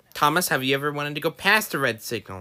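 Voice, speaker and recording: At a very fast pace, a man puts on a character voice with a fairly high pitch. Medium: audio drama.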